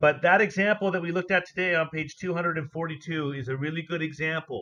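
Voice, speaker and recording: Fairly even intonation at a fairly quick pace. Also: man. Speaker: teacher. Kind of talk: online class. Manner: loud.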